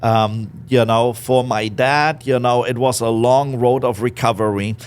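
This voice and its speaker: Speaking with a German accent, a man holds a medium pitch and a fairly slow pace. His intonation is monotone and flat, his loudness very even. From Germany, Berlin. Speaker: business owner. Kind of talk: interview.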